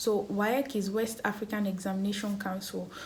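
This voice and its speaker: With a Nigerian accent, a woman of medium pitch talks at a moderate pace amid audible room echo. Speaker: education vlogger. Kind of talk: tutorial. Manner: casual, conversational with fillers.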